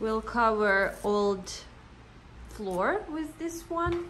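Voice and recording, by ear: A woman's fairly high, fairly bright voice with lively intonation, at a very slow pace, with audible room echo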